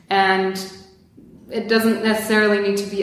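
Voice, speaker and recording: A woman with a Polish accent and monotone, flat intonation amid noticeable background noise. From Poland. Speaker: product manager. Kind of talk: interview.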